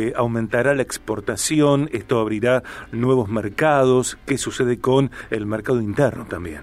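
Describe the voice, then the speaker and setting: Speaking at a fairly slow pace, a man has an unremarkable speaking voice, medium pitch and ordinary pitch variation. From Argentina, Rosario. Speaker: radio host. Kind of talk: radio interview.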